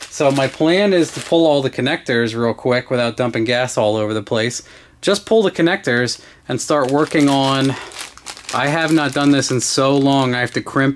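A man speaks at a moderate pace with ordinary pitch variation. Light background noise can be heard. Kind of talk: casual build vlog explanation. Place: garage. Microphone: camera far.

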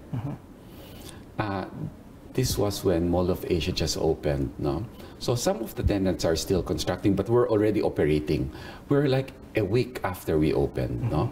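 A man's very deep, low pitch with very wide pitch swings, long, frequent pauses and light background noise. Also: moderate pace. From Philippines. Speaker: mall operations executive. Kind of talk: interview. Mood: warm, reminiscing. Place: office.

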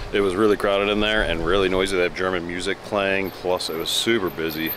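A man speaks very fast in a very deep, low voice, the sound dry with no echo and noticeable background noise behind him. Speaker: food vlogger. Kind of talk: casual vlog chat. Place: street. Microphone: phone near.

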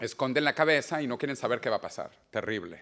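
A man speaks at a medium pitch. The background is quiet. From Venezuela. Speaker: author and futurist. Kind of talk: book presentation talk. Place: hall. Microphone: lapel.

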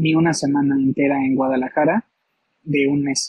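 A man's dark, mellow tone at a fairly slow pace, fairly even in intonation, with a dry sound and no echo. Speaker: guest. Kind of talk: interview answer. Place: home room. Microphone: video call.

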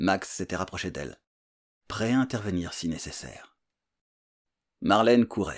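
Against a quiet background, a man with a fairly low voice and vocal fry speaks at a fairly slow pace in a calm tone with lively intonation. He leaves long, frequent pauses. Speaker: audiobook narrator and author. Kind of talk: literary audiobook reading, scripted thriller narration. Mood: suspenseful thriller narration. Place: home room. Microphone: studio mic.

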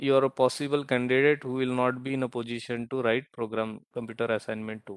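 Speaking very fast in a flat monotone, a man with an Indian accent comes through in a dry, close sound with no echo. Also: medium pitch for a man. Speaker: university lecturer. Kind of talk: lecture. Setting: online class. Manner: halting.

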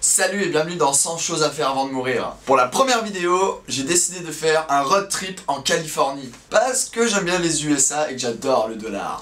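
At a moderate pace, a man talks with lively intonation and hardly any pauses. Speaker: youtuber. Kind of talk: casual vlog chat. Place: home room.

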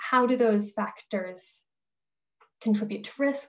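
A woman talks at a fairly slow pace with vocal fry. Her intonation stays fairly even. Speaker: food industry researcher. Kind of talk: webinar presentation. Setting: video call. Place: home room.

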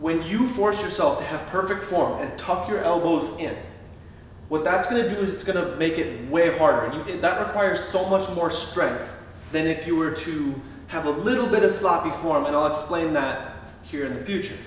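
Audible room echo and light background noise accompany a man with a high pitch and ordinary pitch variation. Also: moderate pace. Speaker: fitness coach. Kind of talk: tutorial. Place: garage. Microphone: camera far.

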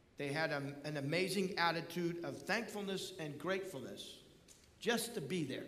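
A man speaks at a fairly slow pace with a high pitch. Audible room echo surrounds his voice. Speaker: pastor. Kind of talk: sermon. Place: church. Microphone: podium.

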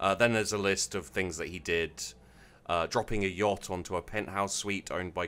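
Someone is reading aloud in a natural voice, holding the intonation fairly even.

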